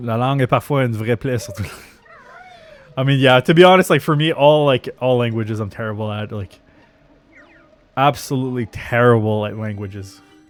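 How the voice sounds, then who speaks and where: With a French Canadian accent and a medium pitch, a man talks at a fairly quick pace, his loudness swinging widely between long, frequent pauses amid noticeable background noise. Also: ordinary pitch variation. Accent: French Canadian accent, moderate. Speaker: video game streamer. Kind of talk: live gameplay stream chat. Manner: slurred, filler-heavy speech; animated.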